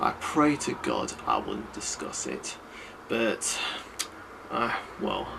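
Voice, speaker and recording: With noticeable background noise behind him, a man with a fairly high pitch speaks at a very slow pace. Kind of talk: improvised film commentary talk. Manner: hesitant, with pauses and filler sounds.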